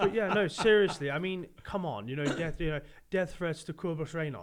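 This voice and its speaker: With a high pitch and ordinary pitch variation, a man talks at a moderate pace. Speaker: rugby podcast co-host. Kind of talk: casual chat. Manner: animated; loud.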